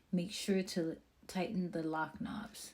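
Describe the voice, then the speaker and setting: A woman's medium-pitched voice, animated in tone and fairly slow in pace, over noticeable background noise. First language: not English (English is her third language). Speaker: product reviewer / vlogger. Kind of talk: casual product tutorial; reading instructions aloud.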